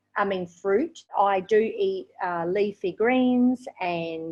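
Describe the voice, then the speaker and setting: A woman speaks with an Australian accent and ordinary pitch variation. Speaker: raw vegan and English teacher. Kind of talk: interview.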